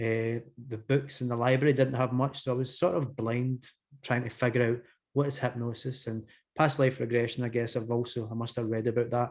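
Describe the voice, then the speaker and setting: In a Glasgow accent, a man speaks fairly quickly with flat, monotone intonation. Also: medium pitch for a man. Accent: Scottish (Glasgow). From Scotland, Glasgow. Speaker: hypnotherapist. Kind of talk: interview conversation. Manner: hesitant, many fillers.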